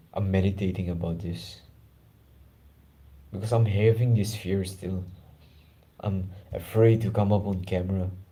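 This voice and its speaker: Here a man talks at a moderate pace with long, frequent pauses and fairly even intonation. His fairly low, somewhat breathy voice has a dark, mellow tone and audible room echo. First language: not English (English is his third language). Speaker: self-improvement YouTuber. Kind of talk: guided meditation and personal talk. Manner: casual, informal.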